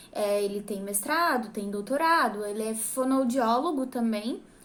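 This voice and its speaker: Audible room echo surrounds a voice that moves at a fairly slow pace with ordinary pitch variation. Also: woman. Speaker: church singer and vocal coach. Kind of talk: tutorial. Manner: casual, with many filler words.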